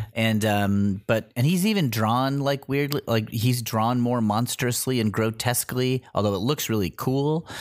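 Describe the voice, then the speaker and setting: At a moderate pace, an ordinary speaking voice moves with ordinary pitch variation on a very clean recording with a silent background. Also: man. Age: middle-aged. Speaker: comedy performer and podcast co-host. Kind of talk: casual chat.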